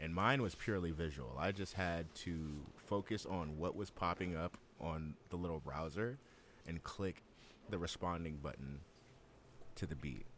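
With vocal fry and a very deep, low pitch, a man speaks in an animated tone. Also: ordinary pitch variation, moderate pace. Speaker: podcast host. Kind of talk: casual chat. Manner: animated, profane.

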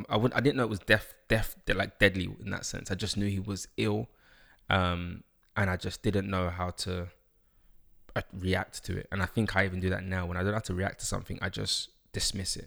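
A man talks at a fairly quick pace with a very deep, low pitch and fairly even intonation. The recording is very clean, with a silent background. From London. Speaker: author and life coach. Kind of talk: interview. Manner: hesitant, many fillers.

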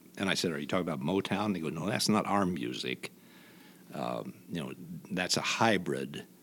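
The voice carries vocal fry and lively intonation. Its pace is moderate. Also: man, very deep, low pitch for a man. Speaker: retired news anchor and investigative journalist. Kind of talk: casual interview conversation. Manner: storytelling, conversational.

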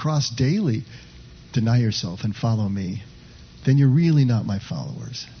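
A somewhat breathy man speaks at a moderate pace with lively intonation. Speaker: pastor leading a contemplative practice group. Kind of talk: sermon; guided meditation. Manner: hesitant, many filler words.

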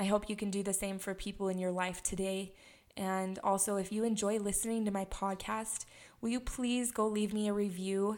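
A woman speaks in a medium pitch with an American accent at a moderate pace. Her intonation stays monotone and flat. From Utah, US. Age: 20s. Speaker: podcast host, wellness coach. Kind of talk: solo monologue podcast. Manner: halting, frequent fillers.

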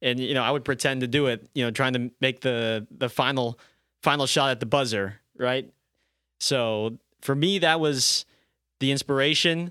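This man has a plain, everyday voice with medium pitch. He talks at a moderate pace, and the sound is dry and close with no echo. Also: ordinary pitch variation. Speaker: basketball play-by-play announcer. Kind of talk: casual chat. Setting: studio.

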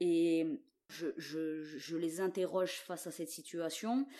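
Fairly low-pitched female voice, dark and mellow in tone. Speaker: visual artist. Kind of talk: interview. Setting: recorded at home during lockdown. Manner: halting, many repetitions.

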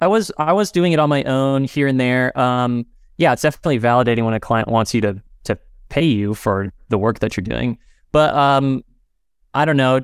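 In a very clean recording with a silent background, a man speaks in an ordinary speaking voice at medium pitch, with ordinary pitch variation, very even loudness and a moderate pace. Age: 30s. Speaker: lettering artist and type designer. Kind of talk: casual interview.

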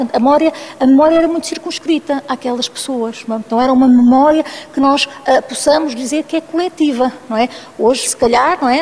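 Over noticeable background noise, a woman speaks at a fairly quick pace with a high pitch. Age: 50s. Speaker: anthropologist and researcher. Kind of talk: panel discussion.

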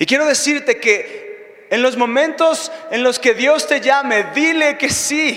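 A man's raised, projected voice at extremely high pitch, very slow pace, with noticeable background noise. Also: lively intonation. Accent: Mexican. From Mexico. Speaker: preacher. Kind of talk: sermon.

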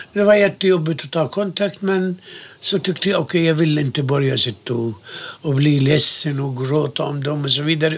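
Fairly high-pitched male speech set against noticeable background noise. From Gaza, Palestine. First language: Arabic (speaking Swedish). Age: 70s. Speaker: interviewee, Palestinian emigrant. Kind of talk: oral history interview.

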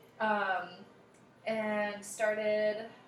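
Medium pitch from a woman, set against noticeable background noise. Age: 30s. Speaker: photographer and singer. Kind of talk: casual chat. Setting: at her home.

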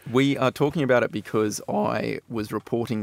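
With an Australian accent, a man speaks at a moderate pace with ordinary pitch variation, in a dry, close sound with no echo and a very clean recording with a silent background. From Perth, Western Australia. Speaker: researcher. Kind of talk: casual radio chat.

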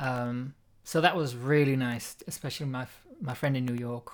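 Here is a man with a plain, everyday voice. His pitch is medium and his intonation fairly even. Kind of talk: casual chat.

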